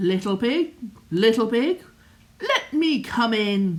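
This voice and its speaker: A woman's put-on character voice, fairly high-pitched, at a fairly slow pace. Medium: read story. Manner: menacing.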